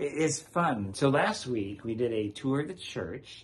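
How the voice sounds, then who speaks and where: A somewhat breathy male voice. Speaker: parish priest host. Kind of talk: casual conversation with guest. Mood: cheerful, joking. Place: home room. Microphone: phone near.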